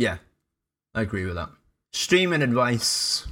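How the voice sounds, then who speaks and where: In a Cardiff accent, a man talks at a moderate pace and a medium pitch. The recording is very clean with a silent background. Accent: Welsh (Cardiff). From Wales, Cardiff. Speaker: streamer, former radio presenter. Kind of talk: casual chat.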